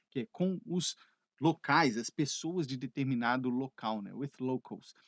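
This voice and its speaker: Lively intonation in a plain, everyday voice, moderately paced. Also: man. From Brazil (Minas Gerais), living in Canada. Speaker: English teacher. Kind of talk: educational video lesson to camera. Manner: conversational, friendly.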